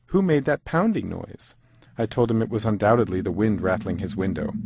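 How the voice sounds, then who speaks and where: Using an unremarkable speaking voice, a man at medium pitch talks at a fairly quick pace with lively intonation. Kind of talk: dramatic reading of a letter.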